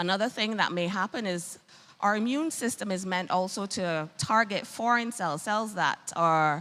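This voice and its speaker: In a Bajan accent, a woman talks at a moderate pace with lively intonation. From Barbados. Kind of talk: health talk.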